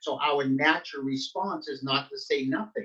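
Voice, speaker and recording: A man with a plain, everyday voice speaks at a moderate pace in a fairly high pitch. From Nova Scotia, Canada (Halifax-Dartmouth). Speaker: pastor. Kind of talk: interview. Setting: video call.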